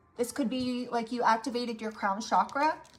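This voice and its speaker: Music plays behind a woman with a fairly high pitch. She talks at a moderate pace with fairly even intonation. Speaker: tarot reader. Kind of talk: tarot reading. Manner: monotone; hesitant, repetitive.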